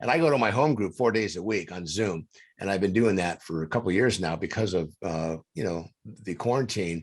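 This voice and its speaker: In a very clean recording with a silent background, a man speaks at a moderate pace in an ordinary speaking voice, his pitch fairly low. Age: 60s. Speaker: podcast co-host, recovery coach. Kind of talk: casual interview chat. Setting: studio.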